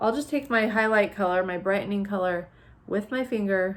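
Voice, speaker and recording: A woman speaks at a moderate pace with a medium pitch. Her pitch varies in an ordinary way. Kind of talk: makeup tutorial talk to camera.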